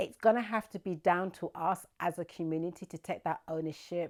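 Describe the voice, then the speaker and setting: A woman speaks at a moderate pace in a dark, mellow tone, her fairly low voice keeping a fairly even intonation on a very clean recording with a silent background. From London, England. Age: 60s. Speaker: charity founder. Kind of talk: interview testimony.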